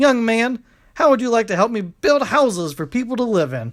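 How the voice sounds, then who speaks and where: A put-on character voice, fairly high in pitch, at a fairly quick pace. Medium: read story. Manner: hearty, warm.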